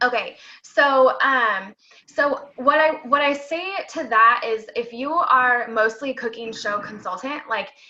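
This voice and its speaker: Over noticeable background noise, a woman with a high pitch speaks in a raised, projected voice at a fairly slow pace. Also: ordinary pitch variation. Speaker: direct sales consultant and team trainer. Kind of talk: online training session.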